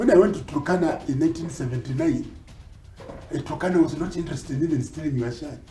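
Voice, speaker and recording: Music in the background behind a man at a fairly high pitch and very fast pace. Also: ordinary pitch variation. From Kenya. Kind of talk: interview answer.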